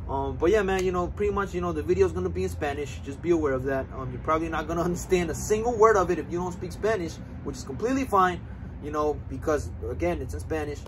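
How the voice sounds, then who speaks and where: A man talks at a very fast pace with noticeable background noise. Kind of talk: casual vlog chat. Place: street. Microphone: camera far.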